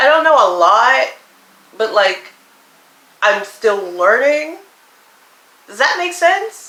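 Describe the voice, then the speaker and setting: A woman's raised, projected voice at a high pitch and a very slow pace, with very wide pitch swings, audible room echo and noticeable background noise. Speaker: YouTuber. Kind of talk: casual vlog monologue.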